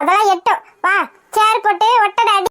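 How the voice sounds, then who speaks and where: A woman puts on a cartoonish character voice, squeaky and at an extremely high pitch. She keeps a moderate pace in a dry, close sound with no echo. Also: fairly even intonation. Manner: loud, scolding.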